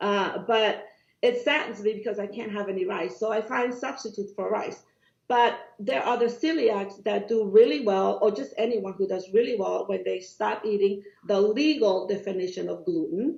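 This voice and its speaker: A woman with a Cuban accent, medium pitch, a moderate pace and ordinary pitch variation. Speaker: doctor. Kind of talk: podcast interview. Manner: animated.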